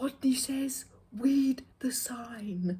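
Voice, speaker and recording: A woman mumbles quietly in a high-pitched, put-on character voice. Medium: read story. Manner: quiet, mumbling, R pronounced as W.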